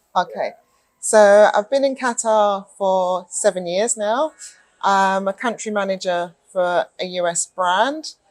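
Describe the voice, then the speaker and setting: With a British accent, a woman at a medium pitch speaks at a very slow pace with ordinary pitch variation. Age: 40s. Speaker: retail manager. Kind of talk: interview.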